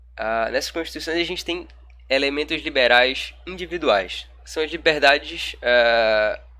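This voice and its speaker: The voice has a bright, sharp tone, a fairly slow pace, big swings in loudness and ordinary pitch variation. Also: man, fairly high pitch for a man. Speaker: law lecturer. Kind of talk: recorded online lecture. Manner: casual, colloquial.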